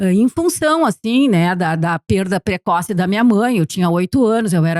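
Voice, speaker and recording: At a moderate pace, a woman speaks with an unremarkable speaking voice and ordinary pitch variation, the sound dry and close with no echo. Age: 60s. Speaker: documentary filmmaker. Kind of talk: podcast interview.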